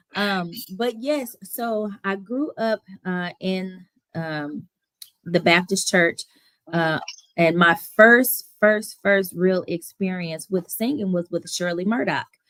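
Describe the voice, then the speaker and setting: A woman at a medium pitch with a slight Southern US accent, ordinary pitch variation and a very slow pace. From Toledo, Ohio; raised mostly in Houston, Texas. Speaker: playwright and singer. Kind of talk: interview.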